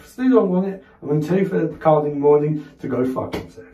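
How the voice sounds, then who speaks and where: Heard with audible room echo, a man talks at a fairly quick pace in a dark, mellow tone, his pitch swinging very widely. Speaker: comic actor in a sketch. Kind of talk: comedic one-sided phone call performance. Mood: exasperated, agitated, swearing. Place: bathroom.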